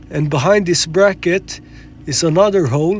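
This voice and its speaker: A man speaks in a fairly high voice with ordinary pitch variation. Noticeable background noise sits behind him. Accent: non-native. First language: not English. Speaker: car repair video maker, amateur. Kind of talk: tutorial. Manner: casual, with fillers and hesitations.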